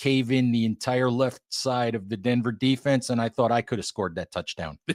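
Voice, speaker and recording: Recorded very cleanly against a silent background, a man with an unremarkable speaking voice talks at medium pitch with ordinary pitch variation, in a dry, close sound with no echo. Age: 60s. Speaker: football writer and site editor. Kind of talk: sports podcast interview. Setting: podcast.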